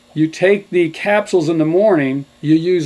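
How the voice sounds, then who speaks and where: This man's voice sits fairly high in pitch. He speaks at a fairly slow pace. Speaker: health products doctor, radio guest. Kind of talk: radio interview, product pitch. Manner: hesitant fillers.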